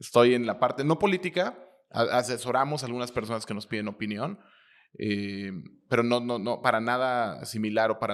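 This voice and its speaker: Speaking at a fairly quick pace, a man of medium pitch has an unremarkable speaking voice. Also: very clean recording, silent background. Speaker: interviewer. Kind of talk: interview.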